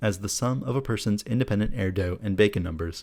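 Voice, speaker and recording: Speech comes at a fairly quick pace with ordinary pitch variation. The recording is very clean, with a silent background. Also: man. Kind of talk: soothing Wikipedia article reading for bedtime. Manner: soft, soothing.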